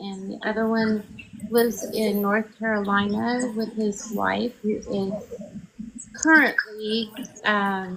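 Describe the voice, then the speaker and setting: Woman's fairly high voice with an American accent, very slow pace, monotone, flat intonation and long, frequent pauses over noticeable background noise. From Oklahoma (Clinton). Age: 50s. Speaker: political candidate and Navy veteran. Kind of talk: interview. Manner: halting, many ums.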